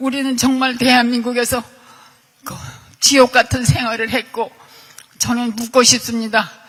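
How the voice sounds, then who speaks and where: A high-pitched woman at a fairly slow pace, monotone and flat, over noticeable background noise. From South Korea, Seoul. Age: 80s+. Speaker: victim of state violence. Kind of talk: testimony.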